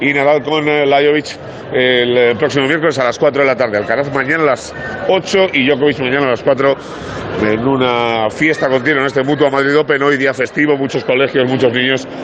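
There is noticeable background noise as a man speaks at a fairly quick pace, with a fairly high pitch, fairly even intonation and very even loudness. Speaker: sports reporter. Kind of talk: live report. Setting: on location at tennis venue. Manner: hesitant, many fillers.

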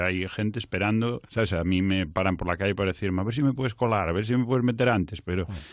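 This man has a normal speaking voice, fairly low in pitch, with ordinary pitch variation. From Galicia, Culleredo near A Coruña. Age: 30s. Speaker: actor and comedian. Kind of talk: casual interview.

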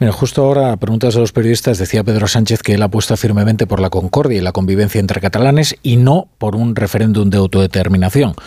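A man talks at a very fast pace with hardly any pauses and very even loudness. His fairly low voice has a dark, mellow tone and ordinary pitch variation. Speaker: radio host. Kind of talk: radio talk show.

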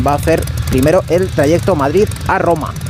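The man's pitch varies in an ordinary way. The recording has noticeable background noise and audible room echo. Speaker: radio reporter. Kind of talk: scripted comedic report. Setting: airport runway.

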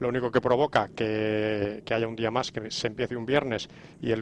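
A man talks at a fairly quick pace in a monotone, flat intonation. The sound is dry and close, with no echo. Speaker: sports commentator. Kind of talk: panel discussion.

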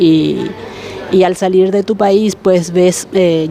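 Speaking fairly slowly with fairly even intonation, a woman uses a medium pitch over noticeable background noise. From Paraguay. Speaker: domestic worker and association president. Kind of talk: casual group interview. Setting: market, on location.

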